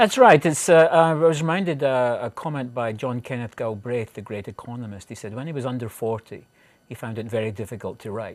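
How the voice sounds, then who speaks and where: With a Scottish accent, the speaker goes at a fairly quick pace with hardly any pauses. Loudness swings a lot, while the pitch varies in an ordinary way. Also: man. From Scotland (central). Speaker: professor. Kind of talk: interview. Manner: halting.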